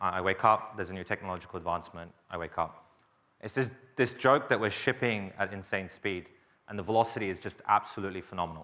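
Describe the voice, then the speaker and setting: Speaking at a very fast pace with an Australian accent, a man uses a fairly low pitch on a very clean recording with a silent background. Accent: somewhat Australian, picked up in Australia. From England, East London. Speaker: software engineer, open source maintainer. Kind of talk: conference talk. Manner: casual, with fillers.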